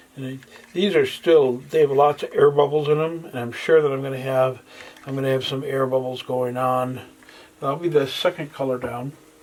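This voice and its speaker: A man speaks at a moderate pace with a fairly high pitch and fairly even intonation. His loudness swings a lot, and there is noticeable background noise. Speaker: acrylic pouring artist. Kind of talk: tutorial. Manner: halting.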